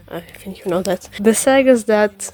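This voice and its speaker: The intonation is fairly even. Background noise is noticeable. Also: woman. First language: not English. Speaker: artist and animator. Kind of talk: casual voiceover commentary over speedpaint. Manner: hesitant, with fillers and repetitions.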